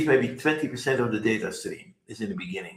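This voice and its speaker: This man talks at a fairly quick pace with lively intonation. His pitch is medium and his voice is somewhat breathy. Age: 80s+. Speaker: software company founder. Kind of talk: interview. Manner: fast.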